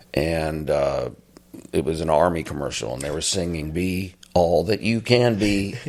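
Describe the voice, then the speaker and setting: Speaking fairly slowly, a man with a very deep, low pitch shows ordinary pitch variation. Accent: American. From Arizona. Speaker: war veteran. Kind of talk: casual chat.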